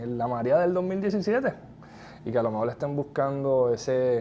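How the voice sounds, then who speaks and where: A man speaks with lively intonation. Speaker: real estate podcast host. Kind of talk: interview.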